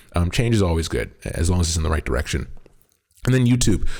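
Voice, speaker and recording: At a very fast pace, a man speaks with a very deep, low pitch, a dark, mellow tone and a somewhat breathy quality. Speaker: esports podcast host. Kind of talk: solo podcast commentary. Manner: casual, filler-heavy.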